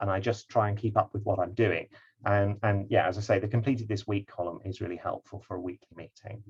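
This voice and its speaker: The voice is somewhat breathy and very fast, with monotone, flat intonation. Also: man, fairly low pitch for a man. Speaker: project management trainer. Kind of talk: online lecture. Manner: hesitant, many fillers.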